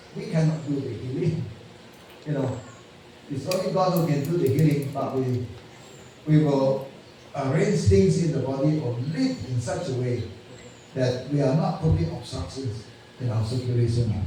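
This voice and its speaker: A man's medium-pitched voice with lively intonation at a moderate pace, long, frequent pauses, audible room echo and noticeable background noise. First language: not English. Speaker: health lecturer. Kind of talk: lecture. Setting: church. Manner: halting.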